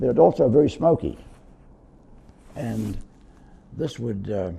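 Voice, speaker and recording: Lively in intonation and somewhat breathy, a man talks at medium pitch with a dark, mellow tone. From New Zealand. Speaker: war veteran. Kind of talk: interview testimony. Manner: halting.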